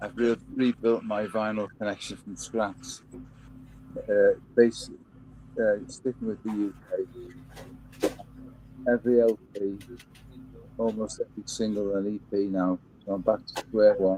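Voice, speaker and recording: At a fairly low pitch, a man with a Liverpool accent speaks fairly slowly in a flat monotone with a dark, mellow tone and long, frequent pauses. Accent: Liverpool (Scouse) English. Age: 80s. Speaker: Elvis fan and record collector. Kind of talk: casual chat. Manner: halting, with repeated words.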